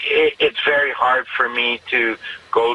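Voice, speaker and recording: Noticeable background noise accompanies a man who speaks at a fairly slow pace. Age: 50s. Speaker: taxi driver. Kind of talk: radio interview. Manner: halting.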